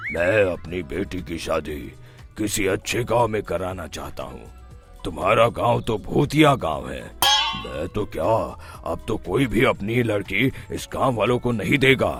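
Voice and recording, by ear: Over clear music in the background, a man puts on a cartoonish character voice with a fairly low pitch at a fairly slow pace.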